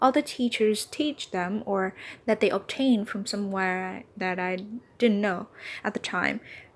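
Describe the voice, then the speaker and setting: A woman's fairly high voice in a Vietnamese accent, at a fairly slow pace with ordinary pitch variation. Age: 20s. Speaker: English teacher and podcaster. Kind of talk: casual monologue podcast. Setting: apartment with doors open.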